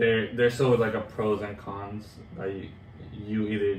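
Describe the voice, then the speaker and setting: Over noticeable background noise, a man speaks at a moderate pace in a fairly low voice with fairly even intonation. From Colombia. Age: 20s. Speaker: track and field coach, transcontinental cyclist. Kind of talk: interview answer.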